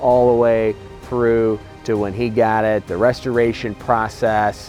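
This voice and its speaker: Music plays in the background as a man speaks at a medium pitch. He talks at a very slow pace. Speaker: auction house representative. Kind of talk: promotional video presentation to camera. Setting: outdoors next to the car.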